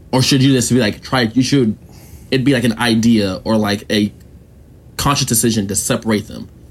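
A man's plain, everyday voice at medium pitch, fairly quick in pace, with fairly even intonation. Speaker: podcast host. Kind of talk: casual banter interview. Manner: joking, laughing.

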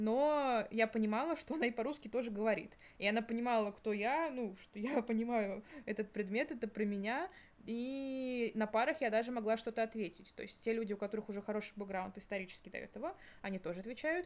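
A woman speaks very fast, her fairly high voice moving with ordinary pitch variation. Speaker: university student. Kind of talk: casual chat.

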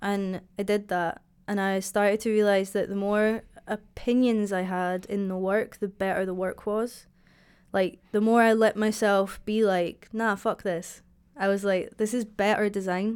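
A woman with a Dundee accent, fairly slow and monotone with flat intonation, on a very clean recording with a silent background. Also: medium pitch for a woman. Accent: Scottish (Dundee). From Scotland, Dundee. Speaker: graphic designer. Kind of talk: casual chat. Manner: loud.

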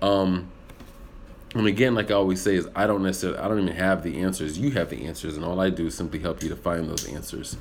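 An animated man with an American accent, very deep and low in pitch, at a fairly quick pace amid audible room echo. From US military upbringing, German heritage. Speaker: actor and public speaking coach. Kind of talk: livestream monologue with viewer Q&A. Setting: live video stream.

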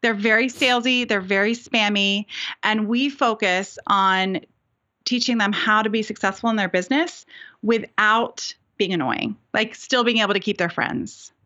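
With a plain, everyday voice, a woman talks at a moderate pace and a fairly high pitch. Her loudness stays very even, and her pitch varies in an ordinary way. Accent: American. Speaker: business coach. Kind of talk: casual interview chat.

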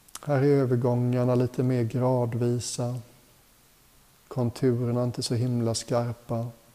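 A man with a medium pitch in a gentle, calm tone, monotone, flat intonation, very even loudness, and a fairly slow pace, over noticeable background noise. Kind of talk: guided meditation. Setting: retreat hotel group session. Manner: slow, calm, soothing; gentle, unhurried, with long pauses.

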